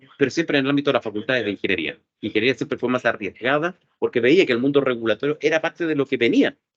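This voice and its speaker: Speaking at a very fast pace in a Chilean accent, a man with medium pitch and ordinary pitch variation comes through in a dry, close sound with no echo. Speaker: lawyer and cybersecurity expert. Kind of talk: interview.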